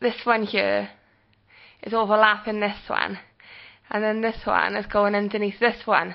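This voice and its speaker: A woman talks at a moderate pace. She has a British accent. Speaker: vlogger. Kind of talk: video diary. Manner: casual with many fillers.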